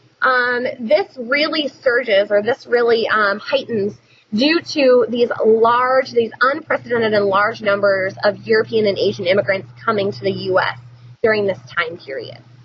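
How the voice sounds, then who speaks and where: Over noticeable background noise, a woman talks at a moderate pace with a fairly high pitch and ordinary pitch variation. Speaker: teacher. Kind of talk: recorded lecture. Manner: casual with many fillers.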